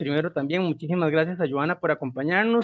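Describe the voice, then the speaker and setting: This man uses a normal speaking voice. He speaks with a fairly high pitch and ordinary pitch variation. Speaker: university project coordinator, moderator. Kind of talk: speaker introduction.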